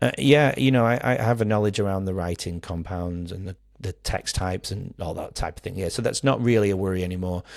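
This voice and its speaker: With a Manchester accent and a fairly low pitch, a man talks at a fairly quick pace with ordinary pitch variation and hardly any pauses, in a very clean recording with a silent background. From Manchester, England. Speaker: primary school relief teacher, podcaster. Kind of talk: podcast interview.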